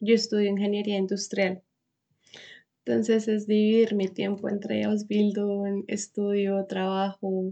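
Flat and monotone in intonation, the voice carries a dark, mellow tone. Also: woman, medium pitch for a woman, fairly slow pace. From Colombia, Bogotá. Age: 20s. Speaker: vocational trainee. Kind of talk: interview.

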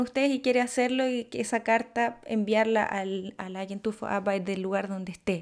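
This woman has an ordinary speaking voice set at a fairly high pitch. Her intonation stays fairly even. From Chile. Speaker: podcast host. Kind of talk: interview.

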